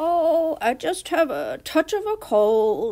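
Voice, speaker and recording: A put-on character voice, squeaky and extremely high pitched, at a very slow pace. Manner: feigned frailty, coughing.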